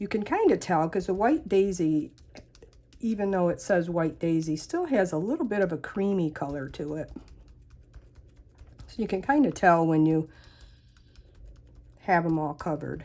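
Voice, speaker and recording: With long, frequent pauses, a woman speaks at a moderate pace and fairly low pitch. Her tone is dark and mellow, and her pitch varies in an ordinary way. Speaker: paper craft demonstrator. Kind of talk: tutorial. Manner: casual.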